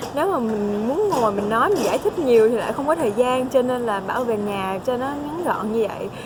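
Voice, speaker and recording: Noticeable background noise and audible room echo surround the recording. A woman speaks at a fairly quick pace with a fairly high pitch. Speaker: vlogger, international student. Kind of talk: casual vlog talk.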